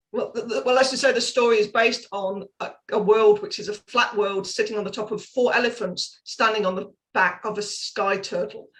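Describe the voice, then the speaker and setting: Barely pausing, a woman talks at a fairly quick pace with a fairly high pitch. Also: fairly even intonation. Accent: British. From UK. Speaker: parenting coach and author. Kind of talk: podcast interview.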